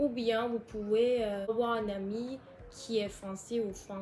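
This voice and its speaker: With music in the background, a woman with a Turkish accent speaks very slowly in a monotone, flat voice pitched fairly high. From Turkey. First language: Turkish (speaking French). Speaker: YouTuber. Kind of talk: casual vlog advice. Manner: halting, hesitant.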